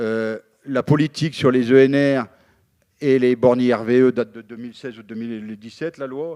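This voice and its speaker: Dark and mellow in tone, a man speaks at a fairly slow pace with ordinary pitch variation. The very clean recording has a silent background and a dry, close sound with no echo. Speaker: union representative. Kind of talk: panel debate. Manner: halting, many fillers.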